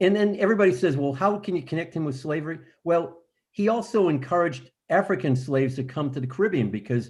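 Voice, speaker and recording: A somewhat breathy man talks at a fairly quick pace with lively intonation. The background is quiet. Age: 70s. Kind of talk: panel discussion on video call.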